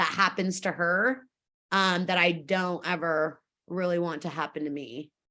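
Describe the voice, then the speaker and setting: A woman with an American accent speaks loudly and at a fairly slow pace. Her tone is bright and sharp, with ordinary pitch variation. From Fresno, California. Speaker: stage actor and theater staff member. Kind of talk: interview. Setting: video call.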